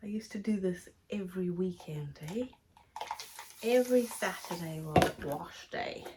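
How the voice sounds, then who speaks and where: A woman at medium pitch, fairly slow pace, long and frequent pauses, and noticeable background noise. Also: ordinary pitch variation. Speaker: hair care vlogger. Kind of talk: tutorial. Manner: casual, chatty.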